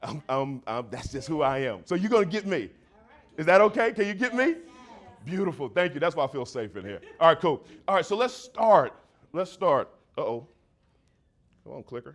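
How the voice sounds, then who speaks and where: A man with a high pitch speaks at a moderate pace with long, frequent pauses, very wide pitch swings and big swings in loudness. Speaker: motivational speaker. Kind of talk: keynote talk to a live audience. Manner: energetic.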